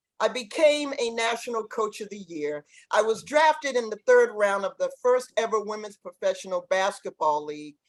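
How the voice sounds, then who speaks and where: Speaking at a moderate pace with hardly any pauses, a woman with a Boston accent uses a fairly high pitch, lively intonation and big swings in loudness. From Boston, Massachusetts. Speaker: former pro basketball player and coach. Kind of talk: podcast interview.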